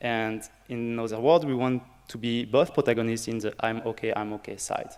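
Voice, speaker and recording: A man with a French accent, medium pitch, fairly quick pace and fairly even intonation. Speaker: early career researcher, workshop organizer. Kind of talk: conference workshop introduction. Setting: conference room with audience.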